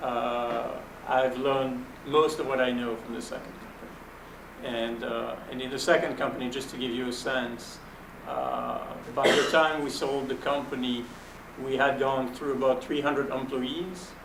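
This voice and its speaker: With noticeable background noise and audible room echo, a man speaks at medium pitch in a French accent, flat and monotone, at a fairly slow pace. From Belgium. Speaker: venture capitalist. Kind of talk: panel talk, fireside chat. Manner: conversational with fillers.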